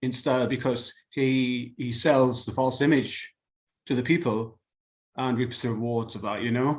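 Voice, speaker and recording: Speaking with a British accent, a man keeps a moderate pace. His intonation stays fairly even. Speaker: webcomic artist and writer. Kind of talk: casual interview.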